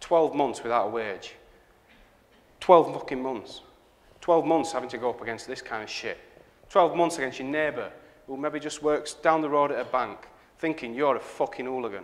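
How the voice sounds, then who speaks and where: The speaker has a Northern English accent and a moderate pace. Long, frequent pauses break up the speech. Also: man, fairly high pitch for a man, ordinary pitch variation. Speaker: graphic designer. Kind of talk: live conference talk. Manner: sweary, powerful delivery. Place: hall.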